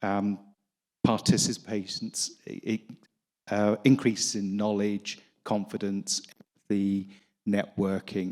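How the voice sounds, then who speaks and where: A man speaks at a very slow pace. His voice sits fairly low in pitch. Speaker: physician, audience questioner. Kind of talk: audience question. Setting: conference hall audience mic.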